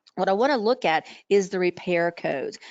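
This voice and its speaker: This woman has an ordinary speaking voice at medium pitch. Her pitch varies in an ordinary way, and her pace is moderate. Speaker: coding trainer and webinar presenter. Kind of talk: webinar lecture. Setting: online webinar.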